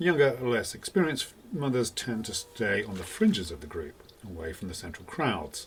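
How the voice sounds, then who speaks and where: A man talks at a moderate pace and medium pitch, with very wide pitch swings and big swings in loudness, hardly pausing. Noticeable background noise sits behind him. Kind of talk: documentary narration.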